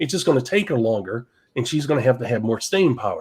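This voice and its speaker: A man speaks at a medium pitch on a very clean recording with a silent background. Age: 60s. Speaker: network marketing podcast co-host. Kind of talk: podcast discussion. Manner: animated.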